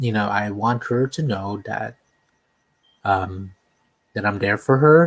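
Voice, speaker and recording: Soft-spoken man, fairly low in pitch, at a very slow pace with long, frequent pauses, on a very clean recording with a silent background. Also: ordinary pitch variation. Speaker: livestream host. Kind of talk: casual chat. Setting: home livestream.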